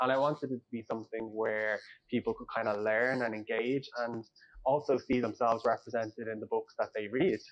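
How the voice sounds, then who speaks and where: A man with an Irish accent speaks at a fairly quick pace with fairly even intonation. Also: medium pitch for a man. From Ireland, North Dublin. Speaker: author. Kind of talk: interview.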